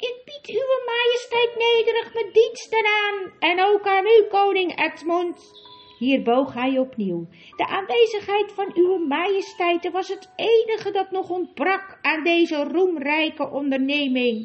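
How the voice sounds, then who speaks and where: A woman's shrill, squeaky put-on character voice with faint music in the background. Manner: courtly, bowing, formal.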